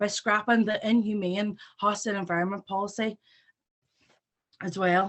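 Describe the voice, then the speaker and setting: A woman's medium-pitched voice in a Northern Irish accent, with monotone, flat intonation. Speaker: students' union president. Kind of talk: rally speech. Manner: fast. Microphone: patchy internet connection.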